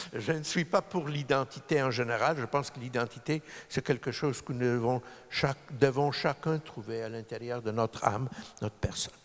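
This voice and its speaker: Man at a medium pitch, moderate pace, ordinary pitch variation. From Poland, then Montreal from age 9. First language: Polish (speaking French). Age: 60s. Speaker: lawyer. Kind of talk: public talk. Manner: halting.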